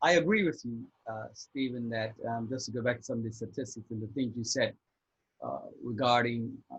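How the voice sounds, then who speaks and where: The voice is somewhat breathy and keeps to a moderate pace. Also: man. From Bermuda. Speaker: divorce coach. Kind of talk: casual interview.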